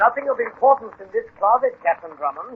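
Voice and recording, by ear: A man puts on a character voice with an extremely high pitch and a husky, rough edge. He talks fast with lively intonation, in a dry, close sound with no echo.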